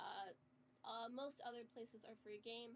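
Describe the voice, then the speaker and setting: A woman's fairly high voice with ordinary pitch variation, at a moderate pace amid noticeable background noise. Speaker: game roleplay guide. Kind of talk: tutorial.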